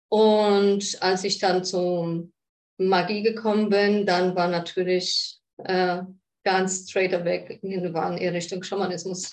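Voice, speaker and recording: With a Polish accent, a woman speaks at a very slow pace in a medium pitch, her intonation monotone and flat. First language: Polish (speaking German). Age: 40s. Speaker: shaman. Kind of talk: interview conversation.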